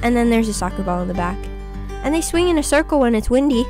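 Very fast speech from a woman, fairly high in pitch with very wide pitch swings, over music in the background. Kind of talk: casual nature video voice-over. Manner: playful, silly.

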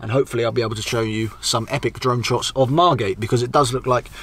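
A man speaks with ordinary pitch variation in a somewhat breathy voice. The sound is dry with no echo. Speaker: travel vlogger. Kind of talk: casual vlog chat. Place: car.

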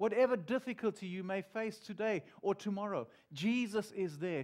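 Against a quiet background, a man speaks with a warm tone. His pitch variation is ordinary. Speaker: pastor. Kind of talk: sermon. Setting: church. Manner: warm, earnest, conversational preaching with pauses and repeats. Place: church. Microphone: headset.

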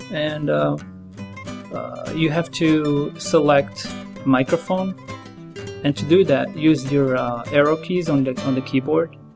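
The speech goes at a very slow pace, with long, frequent pauses. Music plays in the background. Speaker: tutorial narrator. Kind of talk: tutorial.

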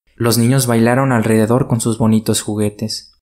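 A man at a medium pitch, fairly quick and monotone with flat intonation, on a very clean recording with a silent background. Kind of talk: audiobook fairy tale narration. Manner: expressive storyteller, shifts tone for character dialogue.

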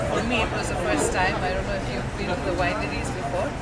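Fairly quick speech over crowd noise in the background. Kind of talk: interview answer. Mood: cheerful, smiling. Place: boat. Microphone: camera far.

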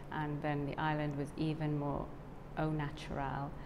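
With noticeable background noise, a woman speaks fairly slowly in a very deep, low voice. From South Wales. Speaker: yoga teacher trainee. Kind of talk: testimony. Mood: warm, grateful, smiling. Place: studio. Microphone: lapel.

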